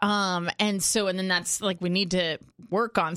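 A woman's medium-pitched voice with ordinary pitch variation, an ordinary speaking voice. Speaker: doctor co-host. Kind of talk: casual chat. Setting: studio.

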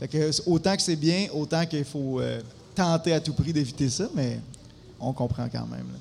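A man with a Quebec accent speaks at a fairly high pitch and a fairly slow pace, using ordinary pitch variation and long, frequent pauses. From Quebec, Abitibi-Témiscamingue. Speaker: musician. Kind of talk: casual chat.

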